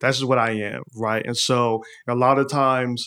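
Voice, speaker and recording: A man talks at a medium pitch with an American accent and a monotone, flat intonation. The recording is very clean, with a silent background. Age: 40s. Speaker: artist and magazine founder. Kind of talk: casual interview.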